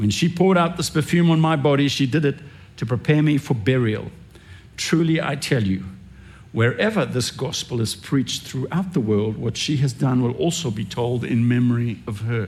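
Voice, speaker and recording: In a normal speaking voice, a man talks at a medium pitch with lively intonation. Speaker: pastor. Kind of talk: sermon. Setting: church.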